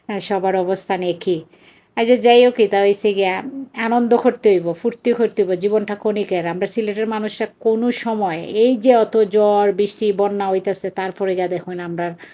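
A woman with a Sylheti accent speaks at a medium pitch. Her tone is dark and mellow, and her intonation is fairly even. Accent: Sylheti Bengali. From Bangladesh, Sylhet (Chunarughat). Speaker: vlogger, mother. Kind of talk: casual vlog narration.

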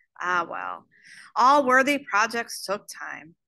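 Speaking slowly, a woman uses a fairly high pitch with big pitch swings, vocal fry and a bright, sharp tone.

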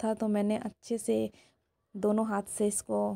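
A fairly high-pitched woman's voice with a dark, mellow tone, in a dry, close sound with no echo. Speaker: cooking vlogger. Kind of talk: casual vlog narration.

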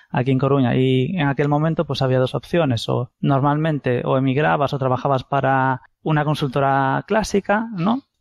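Heard in a dry, close sound with no echo, a man with a normal speaking voice talks at a medium pitch with ordinary variation. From Galicia, Spain. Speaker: software company co-founder. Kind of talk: interview. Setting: phone call.

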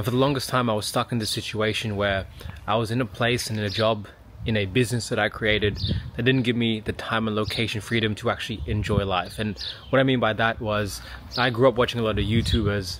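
Over noticeable background noise, a man with an Australian accent talks at a very fast pace with a fairly low pitch and fairly even intonation, the sound dry with no echo. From Sydney, Australia. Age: 30s. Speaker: physiotherapist and business mentor. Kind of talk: casual talk to camera. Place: garden. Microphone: phone near.

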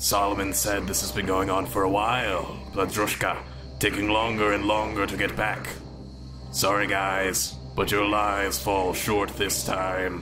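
Over loud music in the background, a man performs a put-on character voice at a fairly low pitch. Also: moderate pace. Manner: smug, gloating.

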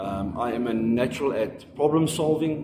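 Noticeable background noise sits behind a man speaking at a moderate pace. His pitch is medium, with ordinary pitch variation. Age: 30s. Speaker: job applicant, panel beater. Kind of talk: self-introduction video for job application. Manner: halting. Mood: earnest, polite. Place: home room. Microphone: phone near.

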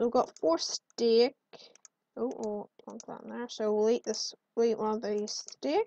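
The voice has a dark, mellow tone and moves at a fairly slow pace, with big swings in loudness. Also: woman, fairly high pitch for a woman, ordinary pitch variation. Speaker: gaming video creator. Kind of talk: gameplay commentary. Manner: animated; excitable.

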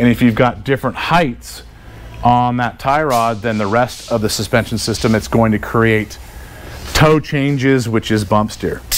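A man at a moderate pace, fairly even intonation, music in the background. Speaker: suspension technician. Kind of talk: live tutorial. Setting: live video stream. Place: workshop.

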